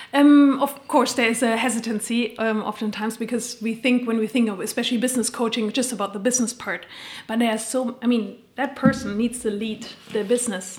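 Speaking at a fairly quick pace, a woman with a German accent uses a fairly high pitch and fairly even intonation. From Germany. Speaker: coach and keynote speaker. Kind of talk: casual interview.

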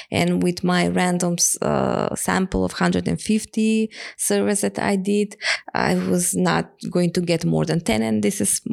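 This woman speaks at a fairly slow pace with a Macedonian accent and very even loudness. The sound is dry and close with no echo, though background noise is noticeable. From North Macedonia, Skopje. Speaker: energy poverty researcher. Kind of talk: interview. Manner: halting.

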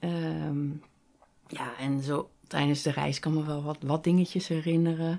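A dark, mellow tone carries monotone, flat intonation at a fairly slow pace in a very clean recording with a silent background. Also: woman, very deep, low pitch for a woman. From Netherlands, Rotterdam area. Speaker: graphic designer and illustrator. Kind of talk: interview, casual conversation.

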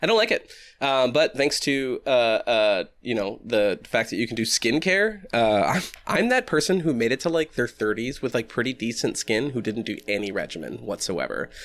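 An unremarkable speaking voice from a man with an American accent, medium pitch, lively intonation and a moderate pace. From Massachusetts. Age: 30s. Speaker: podcast co-host and poet. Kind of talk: casual chat. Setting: video call.

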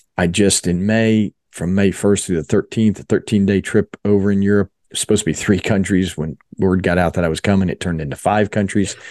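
A man with a plain, everyday voice and an American accent talks at a fairly quick pace in a dry, close sound with no echo over a quiet background. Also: fairly low pitch for a man. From South Jersey (Philadelphia area). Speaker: mission organization fundraising executive. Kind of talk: interview testimony.

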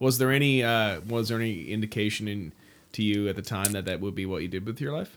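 Speaking at a very fast pace, a man uses a fairly low-pitched voice. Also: ordinary pitch variation, very clean recording, silent background. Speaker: podcast host and touring musician. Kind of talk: casual chat. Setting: home studio.

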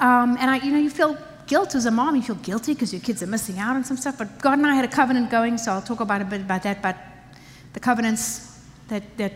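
Noticeable background noise sits behind a woman with a fairly high pitch. She talks at a very fast pace with ordinary pitch variation. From Africa. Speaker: pastor. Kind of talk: sermon. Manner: animated.

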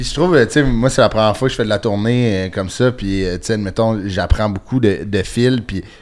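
A normal speaking voice at a moderate pace, with ordinary pitch variation and hardly any pauses. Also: man, fairly low pitch for a man. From Quebec (Sainte-Thérèse, north of Montreal). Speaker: comedian. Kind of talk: casual chat.

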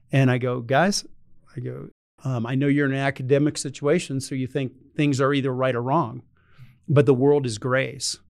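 A man uses a normal speaking voice, keeping a medium pitch, fairly even intonation and a moderate pace. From North Carolina. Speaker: retired air force general. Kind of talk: interview.

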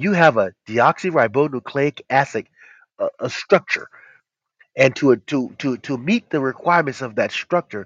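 A man's fairly high voice in a passionate, animated tone at a fairly slow pace. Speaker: herbal health show host. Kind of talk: casual health talk show. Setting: call-in audio stream.

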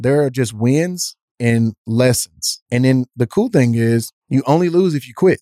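A man's medium-pitched voice, dark and mellow in tone, at a fairly slow pace with ordinary pitch variation, very even loudness, and a dry, close sound with no echo. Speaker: podcast host and former football player. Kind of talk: casual interview conversation.

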